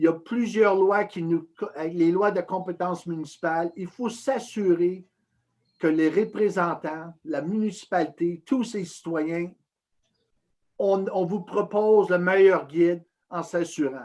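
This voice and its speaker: Very slowly, a man speaks in a high pitch with ordinary pitch variation. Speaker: municipal committee presenter. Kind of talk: public presentation.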